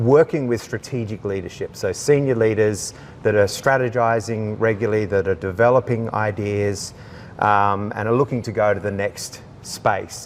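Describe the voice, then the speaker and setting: Against noticeable background noise, a man with an Australian accent talks at a moderate pace with a fairly low pitch and fairly even intonation. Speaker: leadership coach. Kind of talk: interview. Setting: indoors in a large building.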